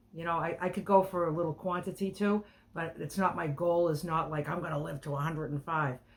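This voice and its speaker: A woman talks at a fairly quick pace. Her pitch sits fairly low, and her intonation is fairly even. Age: 60s. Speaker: health and diet coach. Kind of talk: casual chat. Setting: video call. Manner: halting.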